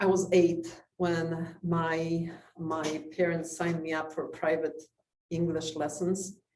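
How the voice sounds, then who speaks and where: A woman speaks very slowly in a fairly low, monotone voice with flat intonation, and the room echo is audible. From Poland. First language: Polish. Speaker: community society president. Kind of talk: talk to a club with Q&A. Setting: club meeting with audience.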